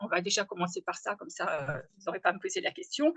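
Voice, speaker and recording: The sound is dry and close, with no echo. A woman speaks at a medium pitch and a fairly quick pace. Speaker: agronomist, webinar speaker. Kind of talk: webinar presentation. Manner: hesitant, many fillers.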